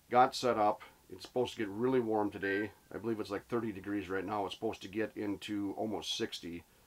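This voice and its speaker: A man with a fairly low pitch talks fairly quickly, his intonation fairly even. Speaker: angler vlogger. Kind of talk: casual vlog chat. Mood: relaxed, reflective. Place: tent. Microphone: phone near.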